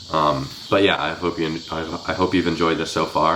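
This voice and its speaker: Noticeable background noise sits behind a man's voice. His pitch is very deep and low, and his intonation is monotone and flat. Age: young. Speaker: book reviewer. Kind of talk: casual chat. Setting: at home. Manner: fast.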